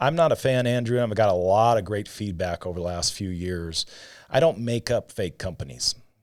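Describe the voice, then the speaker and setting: Delivered at a fairly quick pace with lively intonation, the speech sits on a very clean recording with a silent background. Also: man, fairly low pitch for a man. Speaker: insurance sales agent. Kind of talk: casual podcast chat. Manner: fast.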